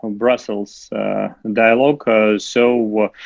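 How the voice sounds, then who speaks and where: His intonation stays flat and monotone throughout. The man's voice sits at a medium pitch. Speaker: young diplomat. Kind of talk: panel speech. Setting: video call. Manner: halting, many fillers.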